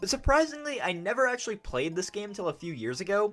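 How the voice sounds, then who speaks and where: The speech goes at a very fast pace with very wide pitch swings. Noticeable background noise is present. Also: man. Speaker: gaming youtuber. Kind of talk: video essay narration. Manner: casual, sarcastic.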